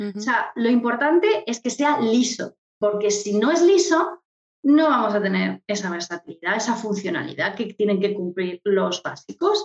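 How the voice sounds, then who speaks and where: Here is a woman with an unremarkable speaking voice, medium pitch and lively intonation. She talks at a moderate pace. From Murcia, Spain. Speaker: image consultant. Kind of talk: interview.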